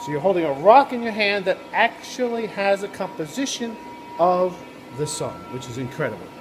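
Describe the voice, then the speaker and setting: There is noticeable background noise behind this man's high-pitched voice. His pitch swings very widely and his loudness rises and falls in big swings. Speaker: professor. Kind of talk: video blog explainer. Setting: laboratory. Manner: fast.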